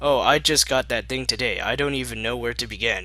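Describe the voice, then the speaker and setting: Talking at a fairly quick pace, a man puts on a character voice. The delivery is a put-on performance. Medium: read story.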